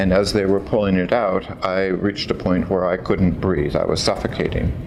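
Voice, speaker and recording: A man talks at a moderate pace in a fairly low pitch with ordinary variation. Noticeable background noise is present. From California, US. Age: 60s. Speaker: patient giving testimonial. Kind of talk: testimony. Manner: halting, with fillers.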